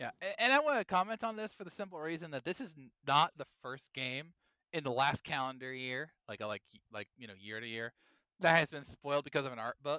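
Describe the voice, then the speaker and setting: Here a man speaks with fairly high pitch, lively intonation and a bright, sharp tone. The recording is very clean, with a silent background and a dry, close sound with no echo. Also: fairly quick pace, big swings in loudness. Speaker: podcast host. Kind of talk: casual chat. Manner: animated.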